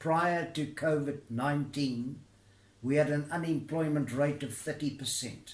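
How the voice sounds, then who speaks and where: A man's somewhat breathy, fairly high voice at a very slow pace, with fairly even intonation and audible room echo. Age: 80s+. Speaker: retired labour negotiator. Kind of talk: recorded address to camera. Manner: formal.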